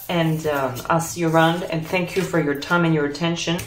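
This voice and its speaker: There is noticeable background noise as a woman speaks at a moderate pace with a French accent. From France. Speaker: tarot reader. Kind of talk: tarot pick-a-card reading, spiritual advice. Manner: conversational, reflective.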